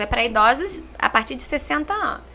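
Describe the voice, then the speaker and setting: A woman's raised, projected voice with a Minas Gerais accent, very wide pitch swings and a moderate pace, over noticeable background noise. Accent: Minas Gerais (mineiro). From Minas Gerais, Brazil. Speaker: social services coordinator. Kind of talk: podcast interview. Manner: talkative.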